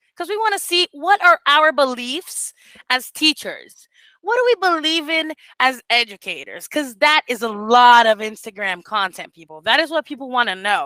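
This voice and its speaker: A woman's high, bright and sharp voice, raised and projected, animated at a moderate pace, with very wide pitch swings, big swings in loudness, and a dry, close sound with no echo. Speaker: teacher mentor. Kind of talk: online group mentoring session.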